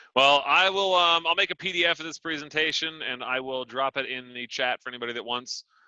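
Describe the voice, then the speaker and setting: A man speaks in a bright, sharp tone. The sound is dry and close, with no echo. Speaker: astronomy speaker, astrophotographer. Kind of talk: Q&A after a talk. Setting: video call. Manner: fast.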